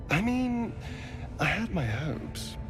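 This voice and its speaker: Over loud background noise, someone performs a put-on character voice at a middle pitch. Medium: video game. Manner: arch, drawling.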